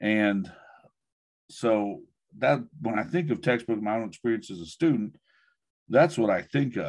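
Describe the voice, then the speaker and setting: Against a quiet background, a man talks at a fairly slow pace with long, frequent pauses. His intonation stays lively. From US, rural Oklahoma (Mustang); Oklahoma. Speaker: education professor. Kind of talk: talk and Q&A in an online webinar. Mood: relaxed, good-humoured. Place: office. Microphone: video call.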